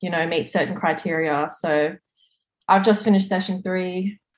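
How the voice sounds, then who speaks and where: Her pitch fairly low and her intonation fairly even, a woman speaks with an Australian accent. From Australia, Sydney. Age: 20s. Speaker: police officer. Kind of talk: casual interview.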